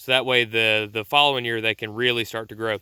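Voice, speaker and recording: This man has a Southern US accent. His voice sits at a medium pitch. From US South. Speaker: homesteader YouTuber. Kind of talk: casual vlog tutorial. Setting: outdoors. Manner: casual with fillers and stammers.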